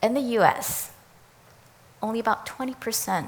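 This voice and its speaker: This is a woman speaking with a Chinese accent. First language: Mandarin Chinese. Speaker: education professor. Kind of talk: prepared talk. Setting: speaker series event.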